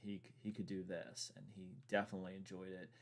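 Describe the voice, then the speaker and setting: Here a man speaks with a Virginia accent. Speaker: gaming streamer. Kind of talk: casual chat. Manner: halting.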